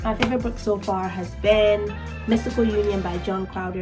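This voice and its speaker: Quiet and at a fairly quick pace, a woman speaks with music in the background. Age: 20s. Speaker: new YouTuber. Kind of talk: casual talk to camera. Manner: quiet, low voice.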